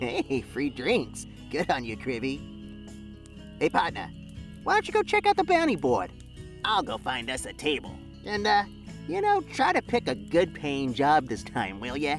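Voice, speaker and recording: A put-on character voice at a moderate pace, with long, frequent pauses and clear music in the background. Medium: read story. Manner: casual, joking, slangy.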